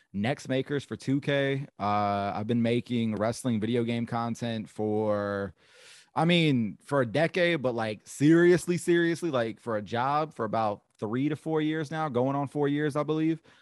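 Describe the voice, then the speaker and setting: An ordinary speaking voice from a man at medium pitch, with ordinary pitch variation and a quiet background. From Georgia, US (Augusta). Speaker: wrestling commentator and content creator. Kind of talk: casual chat.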